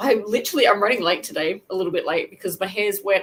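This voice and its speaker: A woman with an Australian accent talks at a very fast pace and a medium pitch. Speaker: crochet youtuber. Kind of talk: casual livestream chat. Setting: livestream. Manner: chatty, rambling with self-corrections.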